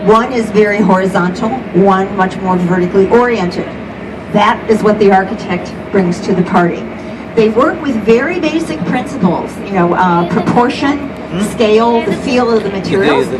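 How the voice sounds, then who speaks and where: A woman talks at a moderate pace with a medium pitch. Her pitch varies in an ordinary way, and there is noticeable background noise. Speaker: volunteer tour guide. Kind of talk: guided tour commentary. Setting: outdoors, on a boat. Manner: vivid, explanatory.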